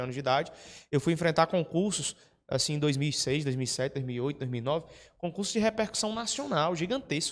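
Here a man with a fairly high pitch speaks at a moderate pace, his intonation lively. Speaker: prep course teacher and mentor. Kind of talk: mentoring talk to students. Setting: classroom with live audience. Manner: animated, informal, swears. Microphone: handheld.

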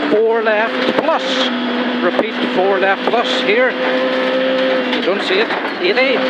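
Over loud background noise, the speaker goes at a very slow pace. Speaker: rally co-driver. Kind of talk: rally pace notes read aloud to the driver. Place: car. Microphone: helmet.

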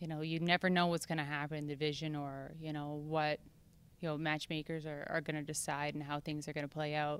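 Speaking very fast with a Canadian accent, a woman has a very deep, low pitch. Her intonation is monotone and flat, and the sound is dry with no echo. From Canada. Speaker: mixed martial arts fighter. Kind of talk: interview. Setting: fight week media interview in Calgary. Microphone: handheld.

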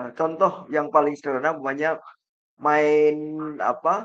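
Against a quiet background, a man speaks very slowly. His pitch is fairly high. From Indonesia, East Java (Kertosono); East Java, Indonesia. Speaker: professor. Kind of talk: lecture. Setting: video call. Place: home room.

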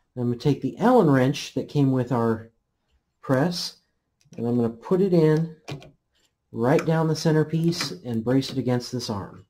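The speech moves at a fairly slow pace amid noticeable background noise. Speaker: hobbyist demonstrating equipment. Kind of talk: tutorial. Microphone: phone near.

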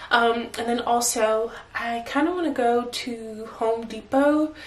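Audible room echo around a female voice with ordinary pitch variation. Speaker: vlogger. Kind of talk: casual vlog chat. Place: home room. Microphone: phone near.

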